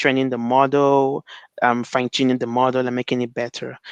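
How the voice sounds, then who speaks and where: A man's voice comes through in a dry, close sound with no echo against a quiet background. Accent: Nigerian. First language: Igbo. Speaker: NLP researcher. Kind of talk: conference talk. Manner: halting, many fillers and repetitions.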